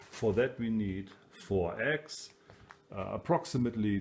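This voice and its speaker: A man with a German accent, very slow pace and lively intonation. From Germany. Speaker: home cook. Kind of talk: cooking tutorial. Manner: casual with many hesitations.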